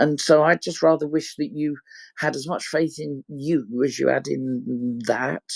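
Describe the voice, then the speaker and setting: With an ordinary speaking voice, a man talks at a fairly slow pace and fairly high pitch, his intonation lively, the sound dry and close with no echo. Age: 60s. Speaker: relationship recovery helper. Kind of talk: encouraging pep talk in group discussion.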